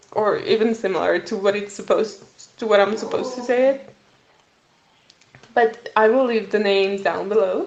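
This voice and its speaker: A woman speaks fairly slowly with a non-native accent. Her pitch is fairly high. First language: not English. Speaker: podcast host. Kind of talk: solo educational podcast. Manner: halting, self-correcting.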